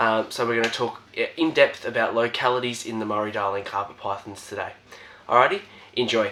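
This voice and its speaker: He speaks with an Australian accent at a medium pitch for a man. His pace is fairly quick, and his pitch variation is ordinary. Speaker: reptile keeper and YouTuber. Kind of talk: casual video presentation. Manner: hesitant, many fillers.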